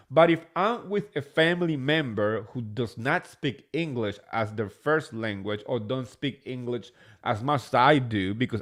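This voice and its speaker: An animated man with a Spanish accent, at a moderate pace and with ordinary pitch variation. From New Jersey, born in Spain. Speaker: reality TV recap podcaster. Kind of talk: casual solo recap commentary. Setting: live stream.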